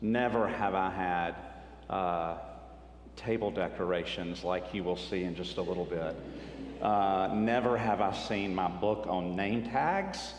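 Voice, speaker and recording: A man's very deep, low voice at a fairly slow pace, with ordinary pitch variation and audible room echo. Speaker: author and retreat speaker. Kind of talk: retreat talk. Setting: church retreat with audience.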